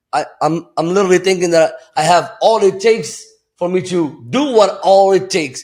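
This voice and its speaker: A man talks with a Moroccan accent. His pace is moderate and his pitch variation ordinary. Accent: foreign accent, Moroccan. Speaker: entrepreneur. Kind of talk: podcast conversation. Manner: matter-of-fact.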